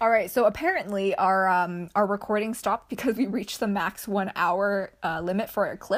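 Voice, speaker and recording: On a very clean recording with a silent background, a woman speaks at a medium pitch. Her pitch varies in an ordinary way. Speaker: podcast host. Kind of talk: casual, conversational. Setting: podcast recording. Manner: fast talker.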